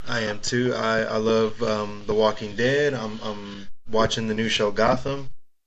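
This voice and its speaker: Over noticeable background noise and audible room echo, a man speaks at a fairly slow pace with a fairly low pitch and monotone, flat intonation. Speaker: podcast co-host. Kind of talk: casual chat.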